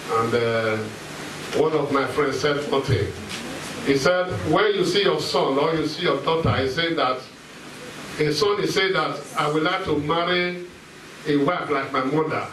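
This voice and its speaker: The speaker goes at a moderate pace with ordinary pitch variation and long, frequent pauses, amid noticeable background noise and audible room echo. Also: man. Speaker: pastor. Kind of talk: sermon. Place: hall.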